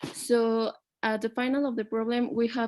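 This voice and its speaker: This woman speaks in a fairly high pitch with a Spanish accent. The recording is very clean, with a silent background. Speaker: student. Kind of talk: explaining a math problem in class. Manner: halting.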